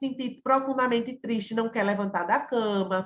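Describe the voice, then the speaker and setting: A woman talks at a fairly high pitch with fairly even intonation in an ordinary speaking voice. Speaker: psychologist teaching a class. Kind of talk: online lecture.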